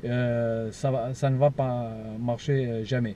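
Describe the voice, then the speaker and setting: This man has a dark, mellow tone. He speaks with a Portuguese accent. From Portugal. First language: Portuguese (speaking French). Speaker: paranormal investigator YouTuber. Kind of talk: vlog to camera. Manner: halting, many hesitations.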